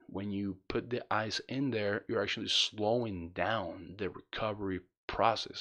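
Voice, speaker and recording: A man speaks with a non-native accent at a fairly low pitch, his intonation fairly even against a quiet background. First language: not English. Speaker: spinal cord injury vlogger. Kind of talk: tutorial. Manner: casual, halting with repetitions.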